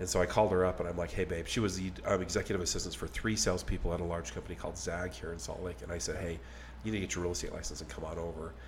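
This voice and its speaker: Over noticeable background noise, a man with a very deep, low pitch talks at a very fast pace with lively intonation. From Texas. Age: 50s. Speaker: podcast host. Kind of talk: casual chat.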